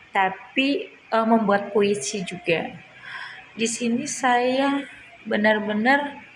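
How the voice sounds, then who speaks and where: Noticeable background noise and audible room echo surround a woman speaking at a very slow pace. Her pitch is fairly high, with ordinary pitch variation. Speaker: student. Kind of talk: spoken assignment video. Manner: halting.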